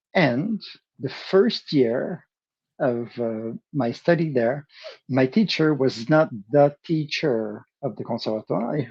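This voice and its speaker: The speaker has a Quebec accent and lively intonation. The pace is very slow. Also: man, medium pitch for a man. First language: French. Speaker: percussionist. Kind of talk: interview. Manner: halting, many fillers and restarts.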